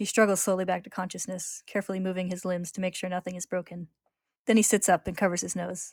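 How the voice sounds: A natural reading voice comes through. The background is quiet.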